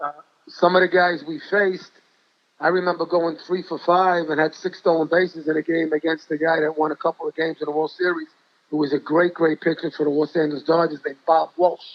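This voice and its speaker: With an American accent, a man speaks at a fairly high pitch and a very fast pace. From New York City. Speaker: high school basketball coach. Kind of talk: interview storytelling. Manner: animated.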